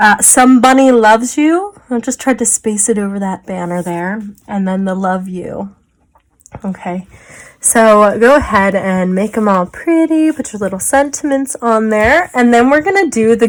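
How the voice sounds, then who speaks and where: This woman has a normal speaking voice with a fairly high pitch. She talks at a moderate pace with lively intonation. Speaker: small business owner, crafter. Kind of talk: tutorial. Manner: casual, chatty.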